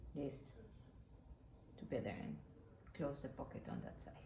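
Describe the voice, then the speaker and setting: A woman with a Spanish accent has a dark, mellow tone with vocal fry, heard in audible room echo. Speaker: sewing tutorial maker. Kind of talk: tutorial. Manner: halting.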